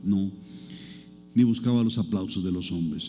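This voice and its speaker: A man's dark, mellow tone moves with ordinary pitch variation, and audible room echo surrounds it. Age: 60s. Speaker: pastor. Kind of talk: sermon. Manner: conversational, engaging the audience.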